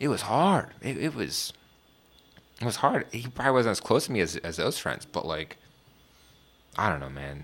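A man with an American accent and vocal fry, very wide pitch swings, a moderate pace and long, frequent pauses. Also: medium pitch for a man. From Washington DC area, US. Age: 20s. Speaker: podcast host. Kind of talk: casual chat. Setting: studio. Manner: casual, laid-back.

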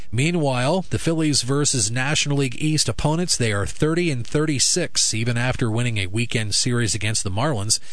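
Medium-pitched male speech at a moderate pace, with lively intonation, very even loudness, hardly any pauses and noticeable background noise. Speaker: radio sports host and announcer. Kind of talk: radio sports news and ad reading.

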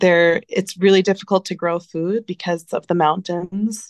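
A dry, close sound with no echo, a quiet background, a moderate pace, and a New Jersey accent. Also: woman. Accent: American, New Jersey. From US, New Jersey. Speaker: nonprofit founder and charity CEO. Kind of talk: interview.

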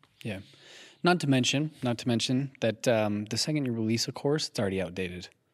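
Recorded very cleanly against a silent background, a normal speaking voice moves at a fairly quick pace with lively intonation. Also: man, medium pitch for a man. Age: 20s. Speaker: podcast co-host. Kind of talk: casual chat. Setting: echoey garage studio.

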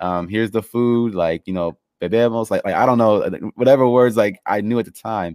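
Over a very clean, silent background with a dry, close sound and no echo, a man with an American accent talks fairly quickly at a medium pitch, with ordinary pitch variation and hardly any pauses. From Los Angeles, US. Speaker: podcast host. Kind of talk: interview. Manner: halting.

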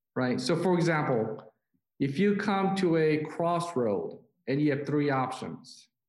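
A man's very slow, lively-toned speech at a fairly high pitch, with very even loudness and audible room echo. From South Korea. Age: 40s. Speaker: business leader and pastor. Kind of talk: interview. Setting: call.

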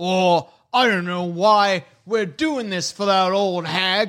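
Putting on a gruff character voice, a man speaks at a fairly slow pace and a high pitch.

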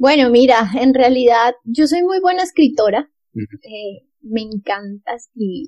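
In a Bogotá accent, a woman speaks at a fairly slow pace in a high voice with a dark, mellow tone and lively intonation, the sound dry and close with no echo. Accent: Bogotá Colombian Spanish. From Colombia, Bogotá. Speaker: lawyer and social entrepreneur. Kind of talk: interview.

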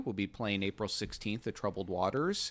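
A man talks in a plain, everyday voice with an American accent. He keeps a moderate pace and ordinary pitch variation. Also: very clean recording, silent background. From Michigan, US Midwest. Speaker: saxophonist. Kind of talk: casual chat.

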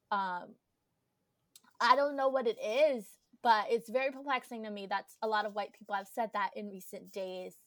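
A woman with an American accent speaks at a moderate pace and fairly high pitch, with ordinary pitch variation and long, frequent pauses, in a very clean recording with a silent background. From New Jersey. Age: 20s. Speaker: college student podcast co-host. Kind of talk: casual chat.

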